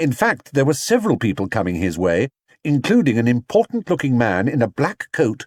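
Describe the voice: In a quiet setting, the clip is plain reading aloud.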